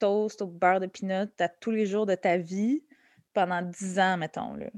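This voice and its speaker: Over a quiet background, a woman uses an ordinary speaking voice, talking fairly slowly with ordinary pitch variation. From Quebec, Montreal and Laval. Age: 30s. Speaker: comedian. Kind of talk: interview conversation. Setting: podcast interview.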